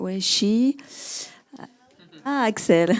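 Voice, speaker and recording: With a French accent, this woman talks. Her voice sits at a medium pitch. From France and Africa, mixed heritage. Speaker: panel moderator, journalist. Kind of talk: panel discussion introduction. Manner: halting, many fillers.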